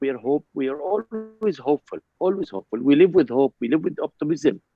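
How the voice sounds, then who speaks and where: A man with lively intonation and an Arabic accent. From Palestine. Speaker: ambassador. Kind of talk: panel discussion. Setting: video call. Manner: animated.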